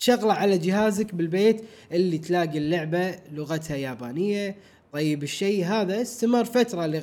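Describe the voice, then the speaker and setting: The man's high voice moves at a moderate pace, with ordinary pitch variation. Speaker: podcast co-host. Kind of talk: casual chat.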